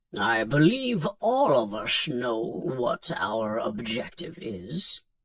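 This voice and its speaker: Using a put-on character voice, a man speaks at a very slow pace with a medium pitch. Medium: read story. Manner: formal, solemn.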